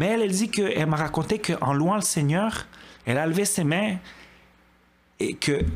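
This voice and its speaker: Lively intonation marks a man's high voice as he speaks at a moderate pace. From Quebec, Montreal (Côte-des-Neiges). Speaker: churchgoer giving testimony. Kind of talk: testimony.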